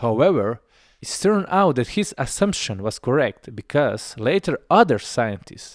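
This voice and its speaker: In a very clean recording with a silent background and a dry, close sound with no echo, a man with a non-native accent speaks at a moderate pace in a fairly high pitch, with very wide pitch swings. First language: not English. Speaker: video essayist. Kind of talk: explainer narration.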